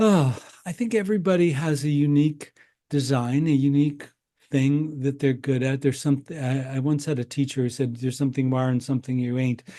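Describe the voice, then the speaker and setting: At a fairly quick pace, a man speaks with a fairly high pitch, ordinary pitch variation and a dark, mellow tone. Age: 60s. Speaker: breathwork healer and entrepreneur. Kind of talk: interview conversation. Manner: halting.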